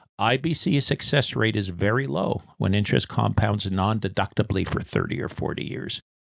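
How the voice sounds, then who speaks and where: A man's voice with vocal fry. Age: 70s. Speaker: retired insurance industry veteran. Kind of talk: scripted explainer.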